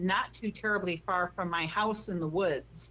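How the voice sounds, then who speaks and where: Bright and sharp in tone with vocal fry, the voice speaks fairly slowly in an American accent with ordinary pitch variation. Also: woman. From US Midwest, Chicago. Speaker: paranormal investigator. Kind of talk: interview. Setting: phone call.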